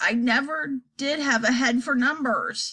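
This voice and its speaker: Putting on a croaky character voice, a woman speaks at a fairly slow pace with high pitch and lively intonation. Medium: read story. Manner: feeble, doddering.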